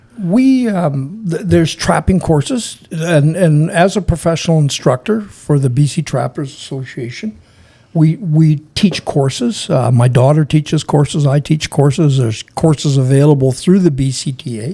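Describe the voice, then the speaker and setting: A man with a western Canadian accent and a fairly high pitch speaks at a moderate pace with hardly any pauses, his somewhat breathy voice dark and mellow in tone and lively in intonation. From British Columbia, Canada. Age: 70s. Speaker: wildlife trapper and search and rescue veteran. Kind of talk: casual interview storytelling. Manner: halting, repeats words.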